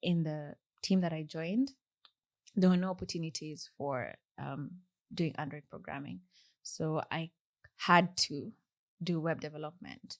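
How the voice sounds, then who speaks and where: Soft-spoken and with a Kenyan accent, a woman talks at a fairly slow pace with long, frequent pauses and a fairly low pitch. Her pitch variation is ordinary, her loudness swings widely, and the background is quiet. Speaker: software engineer. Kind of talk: podcast interview.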